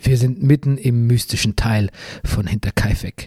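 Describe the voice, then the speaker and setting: Somewhat breathy and dark, mellow in tone, a man speaks at a moderate pace with ordinary pitch variation, the sound dry and close with no echo. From Bavaria. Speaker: podcast host, author and journalist. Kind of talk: scripted narration.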